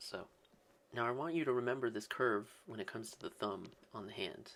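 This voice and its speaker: A man talks at a very fast pace. His voice is quiet. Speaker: art tutorial creator. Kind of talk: tutorial. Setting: home, early morning. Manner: quiet, subdued excitement; casual, filler-heavy.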